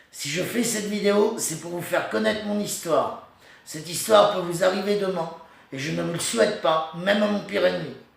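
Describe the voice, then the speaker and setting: There is noticeable background noise and audible room echo. A man speaks in a high voice with ordinary pitch variation. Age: 40s. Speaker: person telling his own story. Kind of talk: personal testimony. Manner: halting, stammering.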